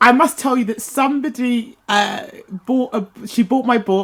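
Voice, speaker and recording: A woman speaks with a somewhat breathy voice on a very clean recording with a silent background. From London, Croydon. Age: 60s. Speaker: author and business coach. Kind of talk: interview.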